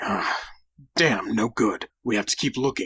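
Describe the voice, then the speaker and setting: A man puts on a raspy character voice at medium pitch and moderate pace, recorded dry and close with no echo. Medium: audio drama.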